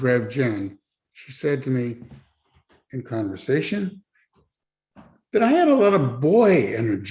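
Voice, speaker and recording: A man with a somewhat breathy voice talks at a fairly slow pace with very wide pitch swings. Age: 70s. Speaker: church member sharing his story. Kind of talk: testimony.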